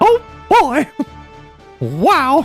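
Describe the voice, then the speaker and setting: A squeaky, high-pitched put-on character voice over faint music in the background. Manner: cheerful, excited.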